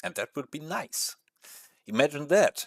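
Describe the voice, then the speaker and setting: The recording is very clean, with a silent background and a dry, close sound free of echo, carrying lively intonation. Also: man. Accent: non-native. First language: not English. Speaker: gaming streamer. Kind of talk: casual live-stream chat. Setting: live stream with webcam. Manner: hesitant, many fillers.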